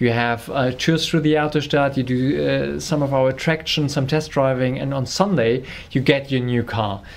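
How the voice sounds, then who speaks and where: A man talks at a moderate pace in a German accent. His intonation stays fairly even. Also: medium pitch for a man, hardly any pauses. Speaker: company representative. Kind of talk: interview. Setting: on location at car venue.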